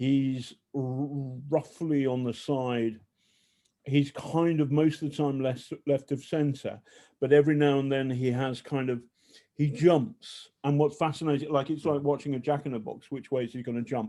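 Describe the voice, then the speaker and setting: A man with a British accent speaks at a moderate pace in a fairly high pitch. His tone is dark and mellow, and his intonation stays fairly even. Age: 60s. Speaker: journalist. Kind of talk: casual chat. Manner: halting.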